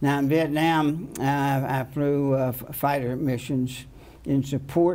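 At a moderate pace, a man talks in a monotone, flat way. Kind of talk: interview answer. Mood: reflective, earnest. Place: studio.

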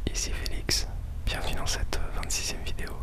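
Soft-spoken and whispering, a man talks at a fairly slow pace. Loud background noise sits behind him. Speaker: music producer vlogger. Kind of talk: casual vlog chat. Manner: soft close-mic French whisper. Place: home room. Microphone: studio mic.

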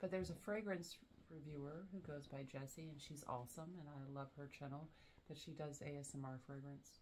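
A woman's very deep, low voice with an American accent, at a moderate pace with fairly even intonation over light background noise. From US South. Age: 40s. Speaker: fragrance reviewer. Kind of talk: casual chat. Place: home room. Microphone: camera far.

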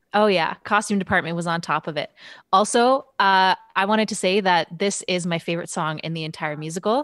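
With a Canadian accent, a woman speaks at a fairly quick pace with ordinary pitch variation, in a dry sound with no echo and a quiet background. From Canada, Alberta. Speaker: musician and dancer, watch party host; watch party host. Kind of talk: casual chat. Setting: video call. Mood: cheerful, relaxed. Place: home room. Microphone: studio mic.

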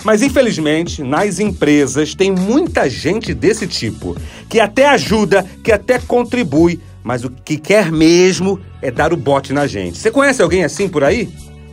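Over music in the background, a man with a high pitch speaks fairly slowly, his pitch swinging very widely. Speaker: motivational speaker. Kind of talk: radio podcast storytelling segment.

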